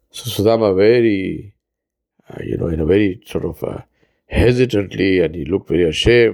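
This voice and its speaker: An ordinary speaking voice: a man at a fairly low pitch, fairly quick pace and ordinary pitch variation. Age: 60s. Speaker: imam. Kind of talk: sermon. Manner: reflective storytelling.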